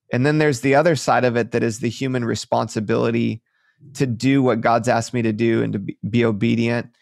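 The speech comes at a very fast pace, in an American accent. The intonation stays fairly even. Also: man, medium pitch for a man. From Michigan, near Detroit. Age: 30s. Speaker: pastor. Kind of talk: interview.

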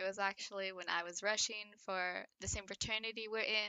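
At a moderate pace, a woman with a medium pitch and fairly even intonation talks in an ordinary speaking voice. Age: 20s. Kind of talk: casual chat.

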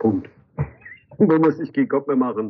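A man races along at a very fast pace, his intonation fairly even. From Magdeburg, eastern Germany. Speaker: graffiti artist. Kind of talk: interview. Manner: halting, many fillers.

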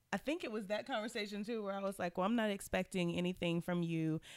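A woman with an American accent speaks at a medium pitch, her pitch varying in an ordinary way. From Southern Virginia. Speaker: guest, wife and mother.

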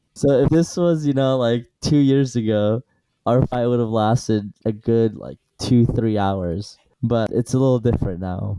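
A man with an unremarkable speaking voice talks at a fairly slow pace. His pitch is medium, with ordinary pitch variation. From Iran, Assyrian family; moved to US at eight. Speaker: dentist. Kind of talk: casual chat.

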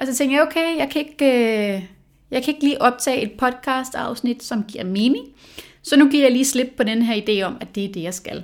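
A woman speaks at a high pitch with ordinary pitch variation. Her loudness swings widely. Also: moderate pace. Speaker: podcast host. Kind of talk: solo podcast monologue. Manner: hesitant with fillers.

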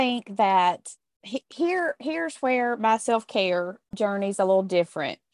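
At a fairly slow pace, a woman with a plain, everyday voice speaks at a fairly high pitch with lively intonation, the sound dry and close with no echo. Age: 50s. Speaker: podcast co-host. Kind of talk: casual chat.

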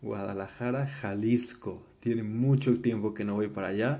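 With audible room echo, a man of medium pitch talks at a fairly slow pace, his tone dark and mellow and his intonation fairly even. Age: 20s. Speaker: podcast host. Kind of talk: personal storytelling monologue. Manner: casual, filler-heavy with repetitions.

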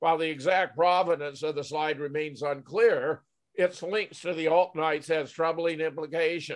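A man speaks at a moderate pace with a fairly high pitch. He has a plain, everyday voice and fairly even intonation. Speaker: podcast host. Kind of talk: news commentary discussion. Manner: measured, formal.

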